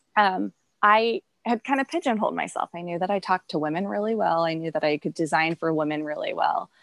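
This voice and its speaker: A woman with a Midwestern accent talks at a very fast pace, her sound dry and close with no echo. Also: fairly low pitch for a woman, lively intonation, quiet background. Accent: general American Midwestern. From US Midwest. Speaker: textile designer and business owner. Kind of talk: interview. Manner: hesitant with frequent fillers.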